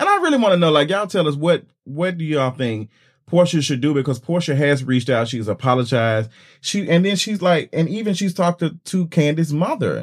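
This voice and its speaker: A man's fairly high, fairly quick voice with lively intonation, a plain, everyday voice. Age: 30s. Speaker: podcast co-host. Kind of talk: casual chat.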